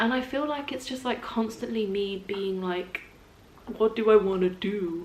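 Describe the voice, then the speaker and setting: With an English accent, a woman speaks at a fairly high pitch and a moderate pace with ordinary pitch variation, over noticeable background noise. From England. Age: 20s. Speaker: voice actor. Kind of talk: casual talk to camera.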